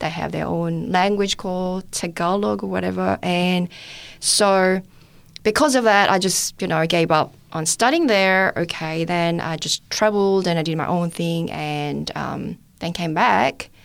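A woman with a Korean accent and a fairly low voice, on a very clean recording with a silent background. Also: ordinary pitch variation, fairly slow pace. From South Korea. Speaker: testimony giver, medical student. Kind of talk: testimony. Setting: studio.

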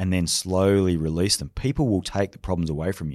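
A man with an Australian accent speaks at a fairly quick pace in a very deep, low voice, recorded very cleanly against a silent background. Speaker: leadership speaker and former special forces soldier. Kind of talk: interview conversation.

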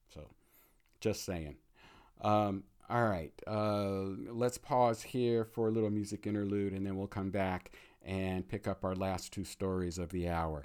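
A man speaks in an ordinary speaking voice at a fairly slow pace. His pitch is fairly low, with ordinary variation. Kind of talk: radio dj patter. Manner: conversational, hedged with frequent 'uh' fillers.

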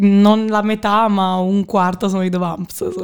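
The woman speaks at a very slow pace with medium pitch. Her intonation is monotone and flat. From Naples, Italy. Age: 20s. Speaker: student and social media manager. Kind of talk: casual interview. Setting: studio.

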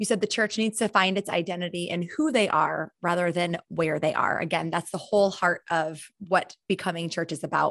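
A woman with a fairly low pitch talks at a moderate pace with fairly even intonation and hardly any pauses, a plain, everyday voice. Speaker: podcast host. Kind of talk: casual interview.

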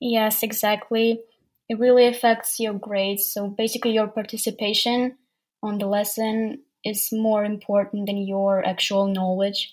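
Her intonation stays monotone and flat throughout. The woman talks at a moderate pace with a fairly high pitch. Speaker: language learner. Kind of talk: casual interview chat. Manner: halting, hesitant with fillers.

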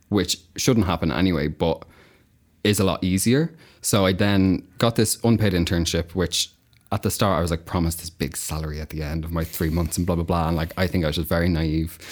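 On a very clean recording with a silent background, a man with an Irish accent speaks in a very deep, low voice with fairly even intonation. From Ireland, County Kildare. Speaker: agency worker in marketing. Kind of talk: casual chat. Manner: giggly.

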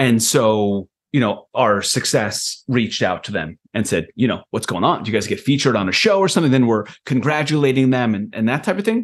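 An unremarkable speaking voice, fairly quick and lively in intonation, against a quiet background. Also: man, medium pitch for a man. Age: 40s. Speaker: software founder. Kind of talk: casual chat.

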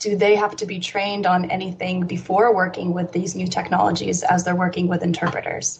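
A woman's medium-pitched voice at a fairly quick pace, with monotone, flat intonation and hardly any pauses. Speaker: audience question moderator. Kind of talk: reading audience questions.

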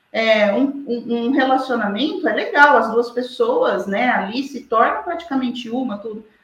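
Heard with audible room echo, a woman speaks at a fairly slow pace in a high pitch with ordinary pitch variation and big swings in loudness. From Brazil, interior of São Paulo state (Araraquara). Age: 40s. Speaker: lawyer and social media commentator. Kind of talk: interview.

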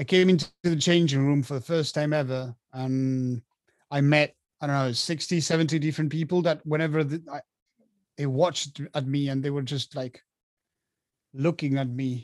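With a Spanish accent, a man talks at a moderate pace and fairly high pitch, with fairly even intonation and long, frequent pauses. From Argentina. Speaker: professional rugby player. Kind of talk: interview.

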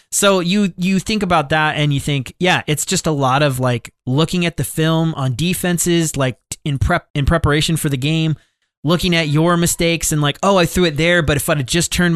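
Spoken in a plain, everyday voice, the words come at a fairly quick pace with fairly even intonation. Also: man, very even loudness. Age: 30s. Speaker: podcast co-host. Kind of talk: casual chat.

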